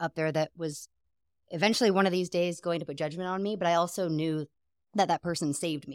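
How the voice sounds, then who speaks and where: A woman with an American accent at a fairly quick pace, dry and close with no echo, on a very clean recording with a silent background. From Seattle, US Pacific Northwest. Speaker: guest, newlywed wife. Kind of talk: casual interview chat.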